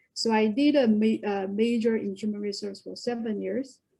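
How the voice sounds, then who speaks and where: A woman speaks at a fairly slow pace in a fairly high, somewhat breathy voice. Her tone is dark and mellow. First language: Korean and Chinese. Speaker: HR director. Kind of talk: webinar talk. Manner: halting.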